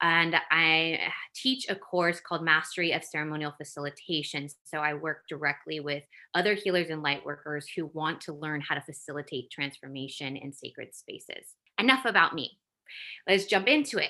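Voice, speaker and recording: Against a quiet background, a woman talks at a moderate pace with a bright, sharp tone. Her pitch is very deep and low, and her loudness swings widely. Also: ordinary pitch variation. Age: 30s. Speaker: podcast host and spiritual business coach. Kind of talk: motivational talk; guided meditation. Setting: recorded video. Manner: animated.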